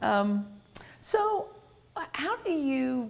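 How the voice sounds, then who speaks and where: There is noticeable background noise in this clip. Through it, a woman speaks with a Tennessee accent. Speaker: interviewer. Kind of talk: interview.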